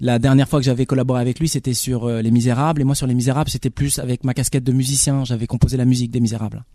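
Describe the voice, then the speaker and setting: Speaking fairly quickly, the man has a dark, mellow tone. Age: 40s. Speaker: film director. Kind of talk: radio interview.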